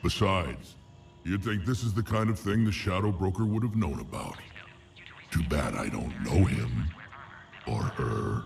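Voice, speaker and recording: A man in a put-on character voice, very deep and low in pitch, with very wide pitch swings, a moderate pace and long, frequent pauses, over clear background noise. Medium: video game. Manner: gruff, dry humor.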